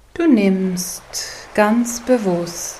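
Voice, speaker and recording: A woman speaks very slowly in a calm, soothing tone over noticeable background noise. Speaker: meditation guide. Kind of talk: guided meditation. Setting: studio, with soft ocean wave sounds in the background. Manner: slow, calm, soothing, gentle pacing with long pauses; soft-spoken, warm, inviting.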